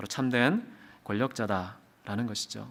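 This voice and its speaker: A man is speaking. His tone is bright and sharp. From South Korea, Daegu. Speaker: pastor. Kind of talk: sermon. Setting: church revival service.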